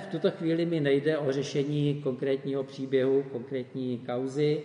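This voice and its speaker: A man talks at a moderate pace in a fairly high voice. Noticeable background noise runs behind him. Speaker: preacher. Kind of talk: sermon.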